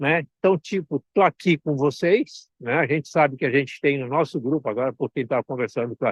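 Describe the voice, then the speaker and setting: With an unremarkable speaking voice, a man talks at a fairly quick pace and fairly high pitch, using ordinary pitch variation and hardly any pauses. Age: 60s. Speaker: consultant and mentor. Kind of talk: online talk. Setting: outdoors at the beach.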